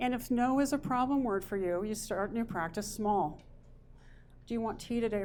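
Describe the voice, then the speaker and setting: A woman speaks at a fairly quick pace in a normal speaking voice. Her pitch varies in an ordinary way. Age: 60s. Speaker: motivational speaker. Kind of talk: workshop presentation. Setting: presentation to a group.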